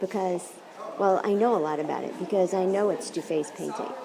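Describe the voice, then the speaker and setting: A soft-spoken woman talks over crowd noise in the background, with audible room echo. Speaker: philosophy professor. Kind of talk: lecture. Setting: art gallery. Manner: animated.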